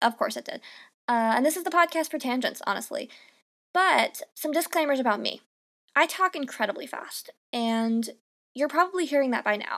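On a very clean recording with a silent background, a woman speaks in a high pitch with an animated tone and lively intonation, pausing long and often. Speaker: podcast host. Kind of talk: solo monologue. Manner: fast.

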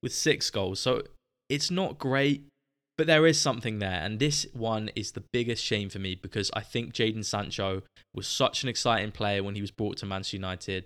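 A man with a southern English accent, medium in pitch with ordinary pitch variation, at a moderate pace in a very clean recording with a silent background. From southern England, Southampton. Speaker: football podcast host. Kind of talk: solo podcast monologue. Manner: casual, chatty.

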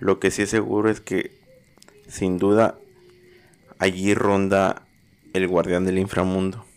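A man speaks with a very deep, low pitch and monotone, flat intonation. His pace is fairly slow, broken by long, frequent pauses. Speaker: horror story narrator. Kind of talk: dramatic horror narration, scripted storytelling.

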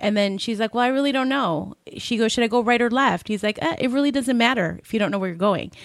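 Hardly pausing, a woman speaks at a very fast pace. Her pitch is fairly high, with ordinary variation. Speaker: podcast co-host. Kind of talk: interview. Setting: studio.

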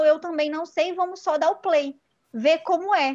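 This is a woman's voice. Her pitch changes little from phrase to phrase. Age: 20s. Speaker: podcast host, psychology student. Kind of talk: casual chat.

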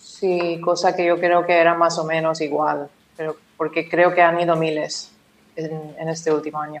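A woman's fairly low voice in a flat monotone. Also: moderate pace. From Oman, of Indian family. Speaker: finance professional. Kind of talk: casual interview.

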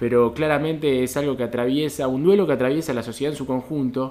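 Someone speaks at a very fast pace against noticeable background noise. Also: man. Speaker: podcast co-host. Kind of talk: interview.

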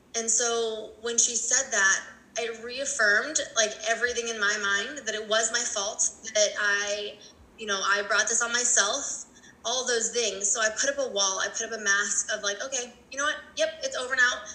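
Against noticeable background noise, a woman with an American accent speaks at a fairly high pitch with fairly even intonation. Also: moderate pace. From Colorado. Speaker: abuse recovery coach. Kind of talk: casual interview.

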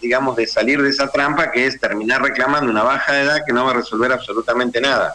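Over noticeable background noise, a man with a fairly high pitch talks very fast, with hardly any pauses and very even loudness. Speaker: human rights lawyer. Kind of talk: radio interview.

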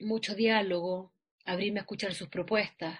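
A woman talks at a moderate pace. Her voice is somewhat breathy. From Chile, Santiago (La Florida). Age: 40s. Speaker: actress. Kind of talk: interview.

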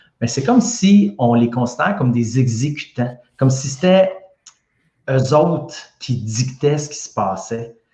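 A man with a Quebec accent speaks at a moderate pace in a medium pitch, his voice somewhat breathy and his intonation lively. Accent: Québécois French. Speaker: health science expert. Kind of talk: casual science discussion.

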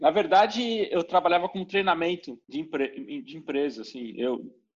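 Against a quiet background, a man with a plain, everyday voice speaks fairly quickly at a fairly high pitch, his intonation lively. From Brazil. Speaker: engineer and educator. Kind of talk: casual interview chat.

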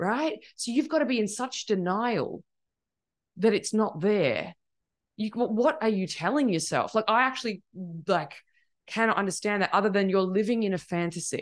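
A woman speaks in a normal speaking voice at medium pitch with lively intonation. Her pace is moderate, and the background is quiet. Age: 40s. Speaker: life coach. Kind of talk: casual chat.

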